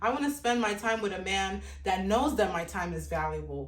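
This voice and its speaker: A woman with an African accent, medium in pitch and fairly quick, amid audible room echo and noticeable background noise. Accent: African accent, a little off. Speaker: dating commentator. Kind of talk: opinion monologue. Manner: emphatic, repetitive.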